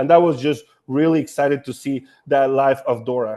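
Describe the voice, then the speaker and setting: This man talks in a Honduran accent at a moderate pace with ordinary pitch variation. The sound is dry and close with no echo, over a quiet background. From Honduras. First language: Spanish. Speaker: nonprofit staff running a house-building program. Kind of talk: panel discussion. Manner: halting, with many repeated words.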